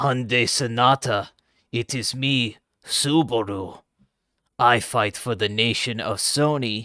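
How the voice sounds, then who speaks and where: Raspy put-on character voice from a man, fairly slow, in a very clean recording with a silent background. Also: medium pitch for a man. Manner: dramatic, theatrical.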